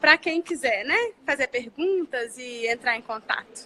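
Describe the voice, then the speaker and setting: The voice is raised and projected, with a strong mineiro accent at a moderate pace. The sound is dry and close with no echo, though background noise is noticeable. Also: woman. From Brazil, Minas Gerais (Belo Horizonte). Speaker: family law lawyer. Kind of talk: casual live chat. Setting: Instagram live stream.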